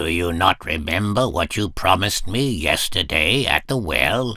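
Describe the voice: Using a put-on character voice, a man speaks at a fairly slow pace in a low pitch with ordinary pitch variation and a bright, sharp tone.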